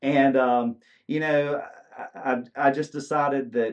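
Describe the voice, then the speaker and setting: A man with fairly even intonation and a medium pitch keeps a moderate pace. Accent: Southern US. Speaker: country musician. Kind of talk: casual interview. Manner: halting with many fillers.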